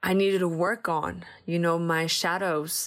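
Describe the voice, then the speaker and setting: In a very clean recording with a silent background, a woman speaks at a fairly slow pace with a Spanish accent. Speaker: podcast host, entrepreneur. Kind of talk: solo personal-development monologue. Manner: animated.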